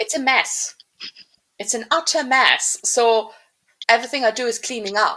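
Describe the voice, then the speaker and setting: Speaking in a German accent at a moderate pace, a woman with a high pitch and a bright, sharp tone keeps her intonation fairly even and leaves long, frequent pauses. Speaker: podcast co-host, writer. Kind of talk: casual chat. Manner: halting.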